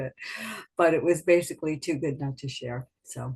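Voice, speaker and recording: Talking at a fairly quick pace, a woman speaks with an American accent. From New York suburbs. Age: 70s. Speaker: health products distributor. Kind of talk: interview.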